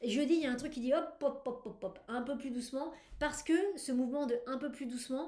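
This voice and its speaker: A woman talks in a high-pitched voice, with audible echo from the room. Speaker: tarot reader. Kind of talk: weekly tarot reading video. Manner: animated; hesitant with fillers.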